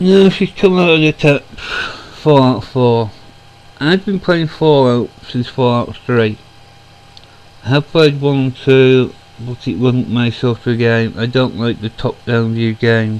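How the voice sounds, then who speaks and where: The pitch of the speech varies in an ordinary way as the words come at a very slow pace. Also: man, medium pitch for a man. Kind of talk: casual talk to camera. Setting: home recording, computer fan noise.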